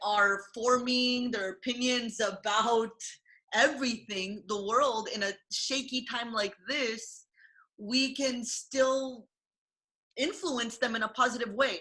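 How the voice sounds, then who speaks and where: A loud woman's voice, fairly high in pitch, bright and sharp in tone, at a very slow pace with ordinary pitch variation. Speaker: martial artist and content creator. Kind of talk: casual chat. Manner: loud, projecting.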